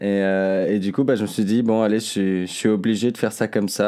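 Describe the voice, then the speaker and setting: A man speaks at a fairly low pitch and a moderate pace. His tone is dark and mellow on a very clean recording with a silent background. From France, Isère (Seyssinet near Grenoble). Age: 20s. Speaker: singer-songwriter. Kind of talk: interview answering children's questions. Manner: hesitant, many fillers and repetitions.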